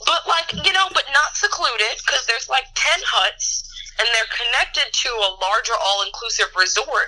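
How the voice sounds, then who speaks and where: A woman with a high pitch speaks in a raised, projected voice at a moderate pace, her pitch swinging very widely while her loudness stays very even, with noticeable background noise behind her. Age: 20s. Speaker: podcast guest. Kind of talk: casual chat.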